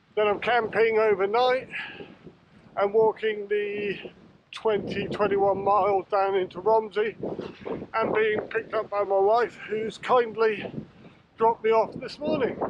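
A man's high-pitched, flat, monotone delivery at a fairly slow pace, with long, frequent pauses, a dry sound with no echo, and noticeable background noise. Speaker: hiker vlogger. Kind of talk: casual vlog chat. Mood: cheerful, relaxed. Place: open country. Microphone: phone near.

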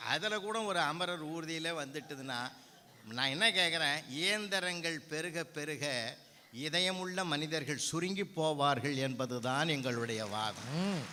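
A man with a fairly high pitch and ordinary variation in it is heard with an audible echo from the room. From Tamil Nadu, Viluppuram district. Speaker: Tamil scholar and debate speaker. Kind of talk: stage debate speech. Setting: stage with audience. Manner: animated.

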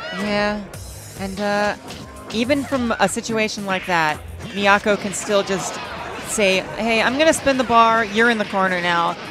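With music in the background, a woman speaks at a medium pitch and a fairly slow pace, showing ordinary pitch variation and long, frequent pauses. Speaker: fighting game commentator, former pro player. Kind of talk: esports match commentary.

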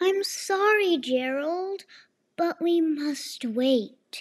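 Putting on a cartoonish character voice, a woman speaks extremely high and very slowly with lively intonation.

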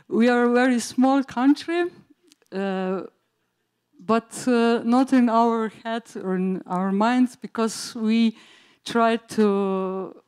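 In a Slovene accent, a woman talks at a fairly high pitch with ordinary pitch variation against a quiet background. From Slovenia. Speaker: teacher, school project coordinator; teacher. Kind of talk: conference presentation. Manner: halting, many fillers. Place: hall.

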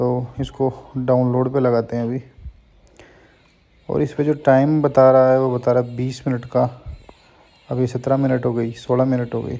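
Dark and mellow in tone, a man talks at a moderate pace with monotone, flat intonation. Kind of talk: tutorial. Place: street. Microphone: phone near.

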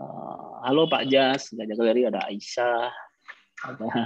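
A man at a very slow pace with ordinary pitch variation, in a dry sound with no echo against a quiet background. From West Sumatra, Padang Panjang; West Sumatra, Indonesia. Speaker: painter; guest. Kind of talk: casual chat. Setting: video call. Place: home room. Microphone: video call.

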